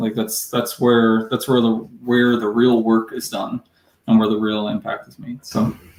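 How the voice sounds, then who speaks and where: A man with an American accent, medium pitch and monotone, flat intonation. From Hudson Valley, New York. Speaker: entrepreneur. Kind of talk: live interview. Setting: live video stream. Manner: casual, halting with fillers.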